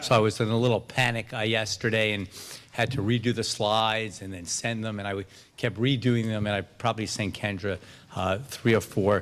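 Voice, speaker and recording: A man's fairly even intonation holds as he talks at a fairly quick pace. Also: fairly low pitch for a man. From New York. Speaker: addiction medicine academic physician. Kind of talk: conference lecture. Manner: fast; halting, many fillers.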